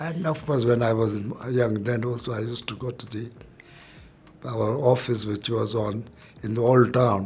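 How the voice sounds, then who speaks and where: A somewhat breathy man at medium pitch, fairly even intonation, moderate pace and long, frequent pauses. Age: 80s+. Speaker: businessman. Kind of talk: interview. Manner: halting.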